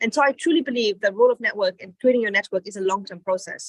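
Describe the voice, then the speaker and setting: Very fast speech from a woman with ordinary pitch variation, in a dry, close sound with no echo. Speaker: entrepreneurship speaker. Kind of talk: motivational talk.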